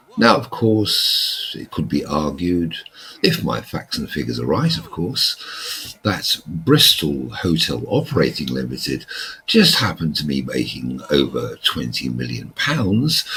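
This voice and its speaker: There is noticeable background noise as a man talks at a fairly slow pace. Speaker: YouTuber and author. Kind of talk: monologue to camera.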